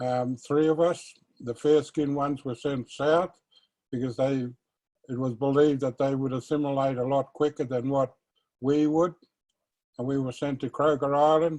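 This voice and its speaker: A man with an Australian accent speaks at a moderate pace in a dark, mellow tone and a fairly high pitch, his intonation fairly even, with long, frequent pauses against a quiet background. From Australia, Northern Territory (Alice Springs). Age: 60s. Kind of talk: personal testimony. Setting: virtual conversation.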